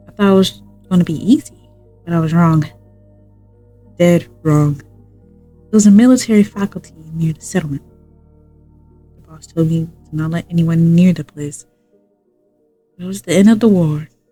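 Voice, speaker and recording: Over music in the background, a woman talks at a moderate pace with a fairly low pitch. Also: ordinary pitch variation. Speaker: streamer. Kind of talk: reading aloud. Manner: halting.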